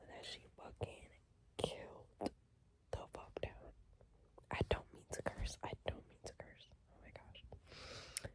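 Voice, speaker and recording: Whispering, a woman speaks at a very slow pace. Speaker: ASMR creator. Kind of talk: ASMR whisper talk ranking songs. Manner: whispered; casual, chatty.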